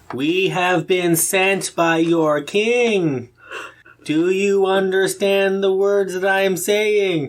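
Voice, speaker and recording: Loud and very slow, a man does a put-on character voice at a high pitch. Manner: very slow, loud, enunciating.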